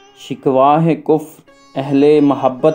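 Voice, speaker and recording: Music plays in the background. A man speaks over it in a fairly high voice. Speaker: poetry reciter. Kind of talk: poetry reading.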